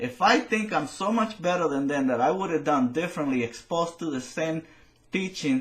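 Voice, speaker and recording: A man with a Spanish accent and lively intonation, amid noticeable background noise. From Latin America. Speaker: political commentator. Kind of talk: opinion monologue. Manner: halting.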